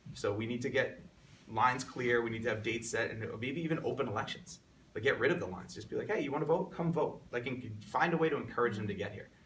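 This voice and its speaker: The speech comes at a very fast pace with an American accent. Audible room echo is present. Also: man. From Long Island, New York. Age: 30s. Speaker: congressional candidate. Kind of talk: interview.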